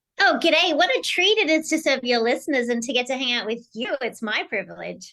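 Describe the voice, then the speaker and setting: Raised and projected, a woman's high, bright, sharp voice carries an Australian accent, an energetic tone, lively intonation and a fairly quick pace. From Australia, Sydney. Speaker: keynote speaker and executive strategist. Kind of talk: podcast interview.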